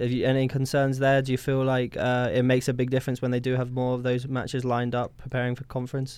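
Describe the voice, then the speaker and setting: Very fast and in a flat monotone, a man with a British accent speaks at a medium pitch. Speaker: co-host, student. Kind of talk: casual chat.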